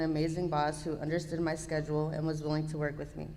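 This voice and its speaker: There is audible room echo. A woman with a very deep, low voice speaks at a fairly quick pace. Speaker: program participant giving testimony. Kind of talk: testimony.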